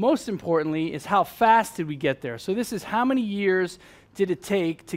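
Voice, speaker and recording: A man with an American accent speaks at a fairly quick pace. The recording is very clean, with a silent background. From US Northeast, New York. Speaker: fintech speaker. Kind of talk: conference presentation. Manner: fast; loud.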